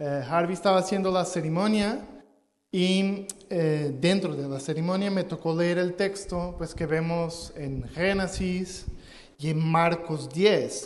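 Speaking at a very slow pace, a man with a high pitch keeps his intonation fairly even while the room adds audible echo. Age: 30s. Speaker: pastor. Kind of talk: sermon. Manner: halting.

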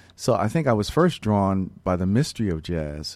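A man with an American accent and a dark, mellow tone speaks at a moderate pace on a very clean recording with a silent background. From US Northeast, Philadelphia. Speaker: jazz bassist. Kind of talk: interview.

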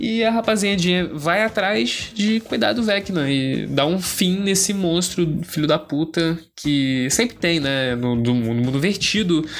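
Speaking at a fairly slow pace with hardly any pauses, a man with a high pitch uses lively intonation at very even loudness. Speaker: podcast host. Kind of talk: casual solo monologue. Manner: casual, slangy.

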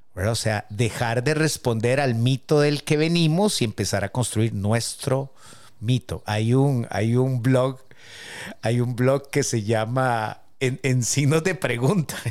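Very slow and very even in loudness, a man speaks at a medium pitch with ordinary pitch variation. The recording is very clean, with a silent background. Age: 50s. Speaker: podcast co-host. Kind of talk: casual chat.

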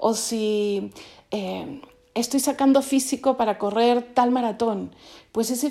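A woman's dark, mellow tone sits at a fairly high pitch. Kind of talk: spiritual reflection. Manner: stuttering; halting.

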